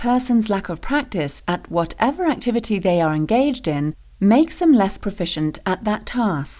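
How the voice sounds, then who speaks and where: Her tone dark and mellow, a woman speaks at a moderate pace with very wide pitch swings on a very clean recording with a silent background. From Britain. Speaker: voice actor. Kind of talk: corporate training narration.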